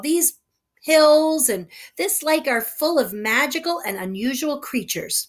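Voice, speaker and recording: This put-on character voice drawls at a fairly slow pace and a high pitch. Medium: read story. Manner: drawling.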